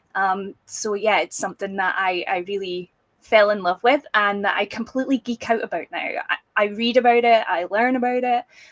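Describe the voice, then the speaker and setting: A woman talks at a moderate pace in a Scottish accent. The sound is dry and close, with no echo. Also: medium pitch for a woman, ordinary pitch variation. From Scotland, small town. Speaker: business founder, community manager. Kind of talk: interview.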